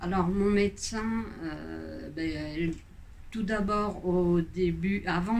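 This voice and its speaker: There is audible room echo around the voice. A woman speaks at a very slow pace. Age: 60s. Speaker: patient giving testimonial. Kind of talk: testimony. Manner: halting, many hesitations.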